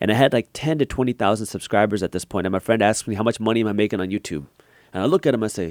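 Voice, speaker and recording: Talking very fast with lively intonation, a man uses a fairly low pitch with vocal fry, the sound dry and close with no echo. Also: very clean recording, silent background. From US, Punjabi Indian immigrant family. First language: Punjabi. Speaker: finance YouTuber and entrepreneur. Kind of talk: podcast interview.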